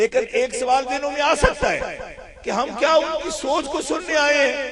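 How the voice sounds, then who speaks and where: With a Punjabi accent, a man speaks at an extremely high pitch amid noticeable background noise and audible room echo. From Pakistan, Punjab (Mandi Bahauddin, Gujrat area). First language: Punjabi (speaking Hindi). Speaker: Islamic scholar. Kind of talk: religious speech. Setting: conference with audience.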